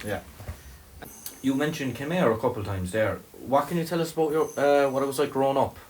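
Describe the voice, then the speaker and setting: Noticeable background noise surrounds a man whose fairly high voice moves at a fairly quick pace. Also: ordinary pitch variation. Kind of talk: casual interview host talk.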